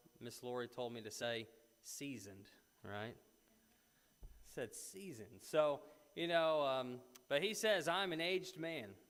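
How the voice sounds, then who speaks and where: Speaking at a fairly slow pace, a man with an American accent uses lively intonation. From US South. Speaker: preacher. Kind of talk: bible class. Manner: halting.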